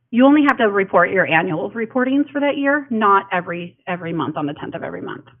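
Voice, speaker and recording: Very fast speech from a woman, with hardly any pauses, very wide pitch swings and big swings in loudness. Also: medium pitch for a woman. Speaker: county elections official. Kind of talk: public information presentation.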